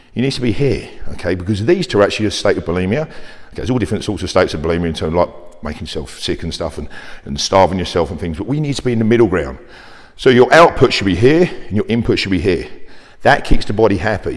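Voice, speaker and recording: A man speaks at a very fast pace in an animated tone. His fairly low voice makes very wide pitch swings. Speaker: personal trainer. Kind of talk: fitness talk to camera.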